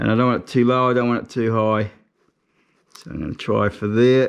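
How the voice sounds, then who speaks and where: With a New Zealand accent, a man speaks at a fairly low pitch. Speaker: motorcycle tour operator. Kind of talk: casual how-to narration.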